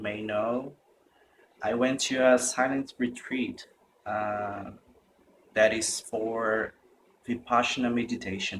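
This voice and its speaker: A man speaks at a very slow pace in a medium pitch, his intonation fairly even. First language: Portuguese. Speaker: meditation retreat participant. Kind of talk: testimony. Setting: self-recorded video. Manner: halting.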